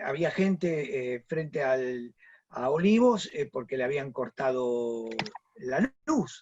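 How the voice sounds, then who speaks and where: Very wide pitch swings run through this voice. It belongs to a man. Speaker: panel moderator. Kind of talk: panel discussion.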